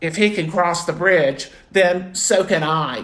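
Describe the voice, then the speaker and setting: This is a put-on character voice pitched in the middle range. It moves at a fairly slow pace. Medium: read story.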